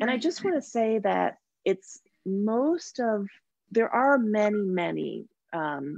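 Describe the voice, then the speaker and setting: A woman's pitch swings very widely. The sound is dry, with no echo, against a quiet background. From Toronto, Canada. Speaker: somatic therapist and energy healer; guest. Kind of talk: interview. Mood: reflective, earnest. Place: home room. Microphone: video call.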